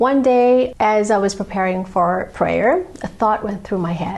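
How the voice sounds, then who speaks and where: Speaking with a Malaysian accent and lively intonation, a woman is heard over noticeable background noise. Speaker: painter and channel host. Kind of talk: channel introduction monologue.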